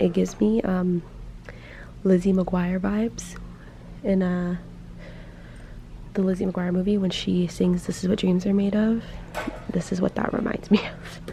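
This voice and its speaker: A woman talks at a medium pitch with fairly even intonation and long, frequent pauses. Noticeable background noise runs beneath her voice. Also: moderate pace. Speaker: first-grade teacher and vlogger. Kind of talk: casual vlog talk. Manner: loud.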